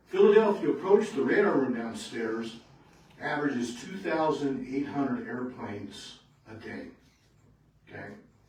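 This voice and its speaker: Amid noticeable background noise and audible room echo, a man with a fairly high pitch talks at a moderate pace, taking long, frequent pauses, his pitch swinging very widely and his loudness shifting a lot. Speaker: retired air traffic controller giving a talk. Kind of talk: public talk to local society. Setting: meeting room with audience.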